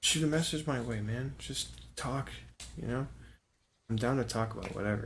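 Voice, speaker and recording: A quiet man talks at a moderate pace, with audible room echo around him. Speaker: gaming streamer. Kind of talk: gameplay stream commentary. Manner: quiet, subdued; casual, halting with fillers.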